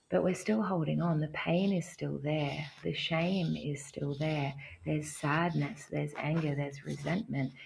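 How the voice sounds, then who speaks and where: Speaking at a fairly slow pace with an Australian accent, a woman uses a very deep, low pitch with vocal fry and ordinary pitch variation. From Australia, small country town near Canberra. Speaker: havening practitioner. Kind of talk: interview conversation; guided exercise.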